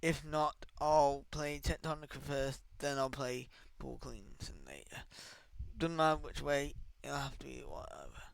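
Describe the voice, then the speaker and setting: Quiet and strained, a man talks at a fairly slow pace. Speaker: gaming YouTuber and streamer. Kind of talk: casual commentary on game patch notes; reading patch notes aloud. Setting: home, early morning recording. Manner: quiet, restrained; distracted, off-the-cuff.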